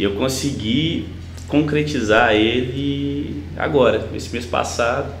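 A man with a medium pitch talks at a very slow pace, his pitch swinging very widely. Audible room echo and light background noise surround him. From Belo Horizonte, Minas Gerais, Brazil. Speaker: sertanejo singer; interview guest. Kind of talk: casual interview. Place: home room.

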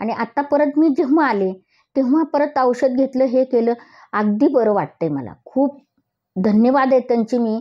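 High-pitched woman's voice with ordinary pitch variation over a quiet background. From Maharashtra, Pune; Maharashtra. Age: 60s. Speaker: physiotherapy patient. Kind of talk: testimonial. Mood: grateful, heartfelt. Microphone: lapel.

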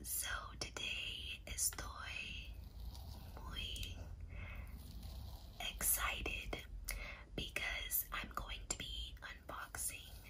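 The speech comes very slowly, broken by long, frequent pauses. Noticeable background noise runs underneath. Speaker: ASMR creator. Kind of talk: soft-spoken ASMR unboxing chat. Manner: soft ASMR whisper, close to mic.

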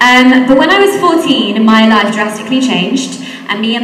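Over light background noise and audible room echo, the speaker talks at a fairly quick pace with ordinary pitch variation. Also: woman. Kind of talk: talk to school assembly. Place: hall. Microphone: handheld.

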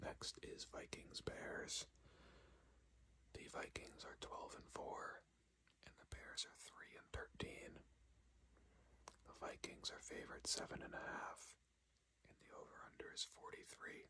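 A man whispering at a fairly slow pace, with long, frequent pauses and big swings in loudness. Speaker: ASMR creator / sports commentator. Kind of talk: ASMR sports predictions talk to camera. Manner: whispered, soft-spoken.

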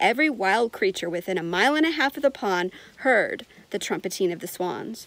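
A woman speaks at a fairly slow pace, the sound dry with no echo. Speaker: reader of a children's book. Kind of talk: storytelling read-aloud. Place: garden. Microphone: phone near.

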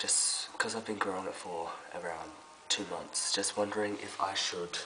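Background noise is noticeable throughout. Over it, a man talks at a fairly slow pace. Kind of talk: casual talk to camera.

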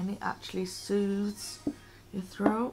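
The hoarse voice moves at a fairly slow pace over light background noise. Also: woman. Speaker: vlogger. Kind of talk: casual vlog chat. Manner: hoarse sore-throat voice, just after sipping. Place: home room. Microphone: webcam.

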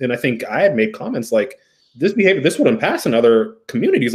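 Lively intonation carries the speech along at a fairly quick pace. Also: man, quiet background. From US, Ethiopian American. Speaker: therapist. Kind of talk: casual chat. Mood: reflective, thoughtful.

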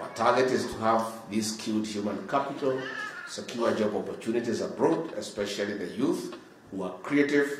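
Audible room echo and light background noise surround a man's voice. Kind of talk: formal speech. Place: hall. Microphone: podium.

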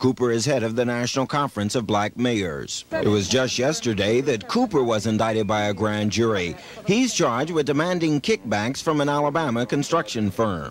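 A man at medium pitch talks at a moderate pace with hardly any pauses, very even loudness, and lively intonation, over noticeable background noise. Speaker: television news reporter. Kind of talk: 1970s-80s TV news report. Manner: formal, even-paced, crisp broadcast delivery; authoritative, polished, steady newsreader cadence.

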